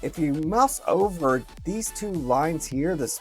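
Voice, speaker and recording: Over music in the background, a man talks at a fairly high pitch. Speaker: educational technology tutor. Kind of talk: screen-recorded software tutorial.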